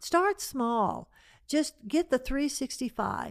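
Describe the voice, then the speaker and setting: A woman's voice with ordinary pitch variation. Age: 70s. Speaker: Bible teacher. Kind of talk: teaching Bible study conversation.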